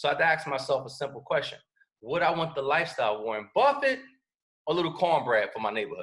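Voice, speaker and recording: A man with a New York accent talks very fast in an animated tone at a fairly high pitch. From New York City (Bronx). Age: 30s. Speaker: network marketing presenter. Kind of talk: sales pitch. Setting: video call.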